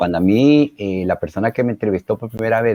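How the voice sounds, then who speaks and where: In a dry, close sound with no echo, a man with a fairly low pitch talks at a fairly quick pace with ordinary pitch variation. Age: 60s. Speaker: retired engineer, helpline volunteer. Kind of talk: interview. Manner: animated; halting, many fillers.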